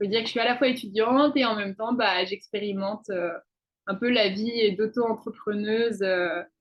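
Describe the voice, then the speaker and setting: A woman with a medium-pitched voice talks fairly slowly. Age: 20s. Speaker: student and intuitive coach. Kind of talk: interview. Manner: halting, many fillers.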